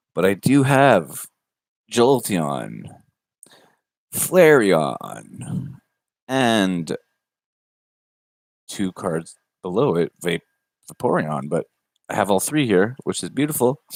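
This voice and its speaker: A man with a fairly low voice and vocal fry speaks very slowly, with long, frequent pauses and very wide pitch swings, in a dry, close sound with no echo. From Canada. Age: 20s. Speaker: YouTuber opening trading cards. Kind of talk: casual live stream. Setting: livestream. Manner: animated.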